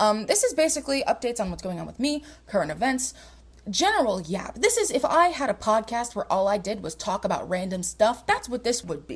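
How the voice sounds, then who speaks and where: A woman talks at a fairly quick pace in an animated tone. Her fairly high voice makes very wide pitch swings. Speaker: podcast host. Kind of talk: casual chat. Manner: fast.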